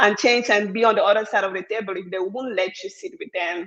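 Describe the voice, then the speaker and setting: A strong African accent delivered at a fairly quick pace. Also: woman. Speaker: venture capital fund founder. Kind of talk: panel discussion.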